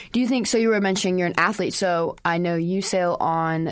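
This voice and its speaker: With a fairly low pitch and ordinary pitch variation, this woman has an ordinary speaking voice. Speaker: student intern and interviewer. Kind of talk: interview. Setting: studio.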